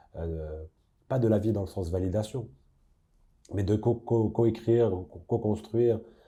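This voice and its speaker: A man's somewhat breathy voice, dark and mellow in tone, at a moderate pace with ordinary pitch variation and a quiet background. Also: long, frequent pauses. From Casablanca, Morocco. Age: young. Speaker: singer-songwriter. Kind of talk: interview answer. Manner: hesitant, thoughtful.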